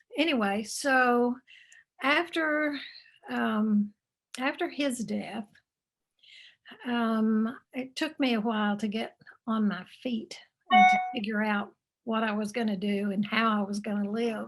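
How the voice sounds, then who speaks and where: Speaking with a slight Texan accent, a woman has a fairly high, somewhat breathy voice with ordinary pitch variation. She goes at a fairly slow pace with long, frequent pauses. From Texas. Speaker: author and grief speaker. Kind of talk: interview. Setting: video call.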